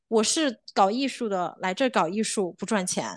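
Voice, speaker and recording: An unremarkable speaking voice from a woman, fairly high in pitch, with lively intonation at a moderate pace over a quiet background. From China, Chongqing. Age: 20s. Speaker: choir founder and conductor. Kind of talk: podcast interview.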